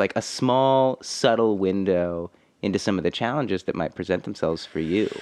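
Against a quiet background, a man with an American accent and an ordinary speaking voice talks at a fairly low pitch with ordinary pitch variation. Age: 30s. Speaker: podcast host, musician. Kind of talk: casual interview chat.

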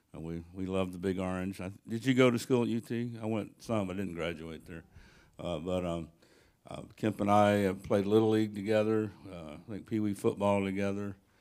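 A man with a Southern US accent, fairly low in pitch, at a moderate pace, with fairly even intonation and big swings in loudness. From US South (Tennessee). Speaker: church member introducing the speaker. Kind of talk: speaker introduction. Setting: church. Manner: halting.

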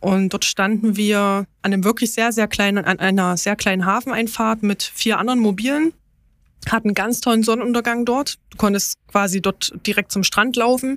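Here a woman with an unremarkable speaking voice talks at a moderate pace and a fairly high pitch. Her intonation is fairly even, and the recording is very clean with a silent background. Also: dry, close sound with no echo. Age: 30s. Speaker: parent on parental leave, car dealership employee. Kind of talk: interview about travel experience.

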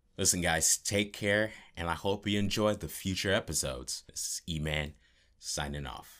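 A man with a very deep, low pitch speaks in a bright, sharp tone, with vocal fry. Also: ordinary pitch variation, moderate pace. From New York City. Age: 20s. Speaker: voice actor. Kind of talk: casual self-introduction.

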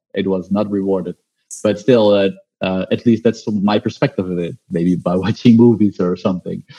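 A man speaks in a dark, mellow tone at a fairly low pitch with fairly even intonation. The sound is dry and close, with no echo. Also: moderate pace. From Netherlands. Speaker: interviewer. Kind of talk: interview.

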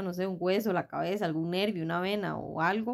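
A woman with an unremarkable speaking voice at a fairly quick pace, medium in pitch with ordinary pitch variation, in a very clean recording with a silent background. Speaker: podcast co-host, mother. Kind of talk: casual chat.

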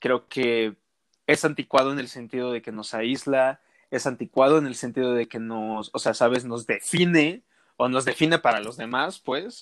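A man with an unremarkable speaking voice talks at a moderate pace with ordinary pitch variation and big swings in loudness, in a dry, close sound with no echo. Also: medium pitch for a man. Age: 20s. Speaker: podcast guest. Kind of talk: casual interview.

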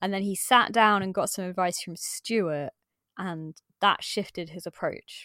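Speaking in an English Midlands accent at a fairly slow pace, a woman with a medium pitch and a bright, sharp tone keeps a fairly even intonation while her loudness swings widely, on a very clean recording with a silent background and a dry, close sound without echo. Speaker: podcast co-host. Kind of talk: casual chat.

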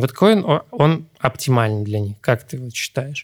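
Moderate-paced male speech on a very clean recording with a silent background. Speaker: podcast co-host. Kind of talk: casual chat.

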